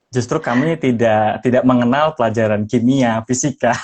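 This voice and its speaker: With fairly even intonation, a man at a medium pitch talks at a moderate speed. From Indonesia, Central Java (Semarang). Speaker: podcaster and former radio announcer. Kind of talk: podcast interview. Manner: hesitant with frequent fillers.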